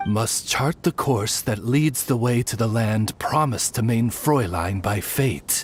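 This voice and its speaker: Low-pitched put-on character voice at a fairly slow pace with hardly any pauses, over clear background noise. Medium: video game. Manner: courteous, formal.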